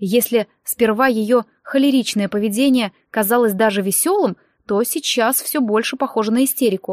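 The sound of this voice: Here is an unforced reading voice with ordinary pitch variation. Behind it, the background is quiet.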